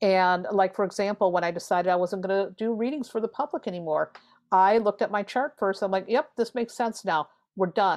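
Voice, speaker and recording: Talking at a fairly quick pace, a woman has a plain, everyday voice with a medium pitch. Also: ordinary pitch variation. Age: 50s. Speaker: tarot reader and author. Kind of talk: casual chat.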